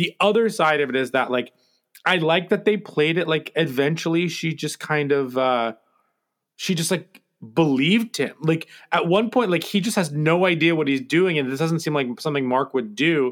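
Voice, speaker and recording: This man has an American accent and a fairly high pitch, talking at a moderate pace in a normal speaking voice. The recording is very clean, with a silent background. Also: ordinary pitch variation. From United States. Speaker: podcast co-host. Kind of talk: casual chat.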